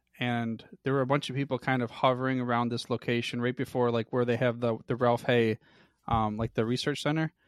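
Speaking fairly quickly in a Midwestern American accent, a man holds a medium pitch in a monotone, flat intonation. The sound is dry and close with no echo. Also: quiet background. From US Midwest. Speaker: podcast network founder. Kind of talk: casual interview.

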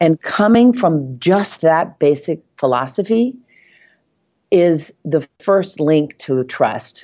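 At a very slow pace, a woman with an American accent and a fairly low pitch makes very wide pitch swings. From Nashville, Tennessee. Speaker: real estate agent. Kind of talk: casual interview.

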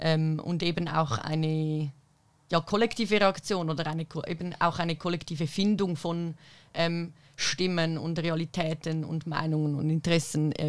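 On a very clean recording with a silent background, a woman talks at a moderate pace in a fairly low voice. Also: fairly even intonation. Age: 20s. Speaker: activist and political science student. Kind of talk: panel discussion. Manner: hesitant with many fillers.

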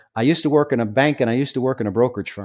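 A medium-pitched man with an American accent and ordinary pitch variation, on a very clean recording with a silent background. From New York, Staten Island. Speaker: former undercover drug agent. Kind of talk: interview.

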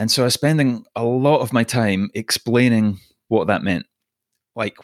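Speaking at a fairly slow pace with a Scottish accent and ordinary pitch variation, the voice sounds dry and close with no echo on a very clean recording with a silent background. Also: man. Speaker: podcast host. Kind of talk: interview.

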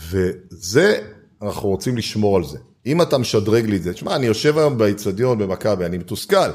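A man with a normal speaking voice talks at a fairly quick pace, his fairly low pitch carried by lively intonation. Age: 50s. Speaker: startup investor and accelerator founder. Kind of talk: interview conversation.

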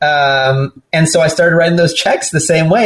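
Speaking with an American accent at a fairly quick pace, a man has a fairly high pitch and an unremarkable speaking voice. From Southern California. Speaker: startup founder and venture investor. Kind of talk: casual interview conversation.

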